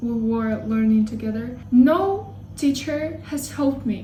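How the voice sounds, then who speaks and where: A woman speaks with a Russian accent. Noticeable background noise and audible room echo fill the recording. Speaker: language learning YouTuber. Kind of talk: casual vlog talk. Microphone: poor sound quality.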